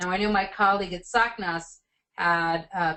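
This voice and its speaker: Here a woman talks in a monotone, flat intonation. Her pitch lands in the medium range. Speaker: education policy researcher presenting a report. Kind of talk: webinar presentation and Q&A. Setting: webinar call. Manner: fast.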